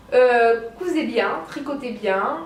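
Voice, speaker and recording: A woman speaks at a very slow pace with ordinary pitch variation. Noticeable background noise and audible room echo are present. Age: 20s. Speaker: knitting and sewing podcaster. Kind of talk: casual monologue podcast. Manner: hesitant, many fillers.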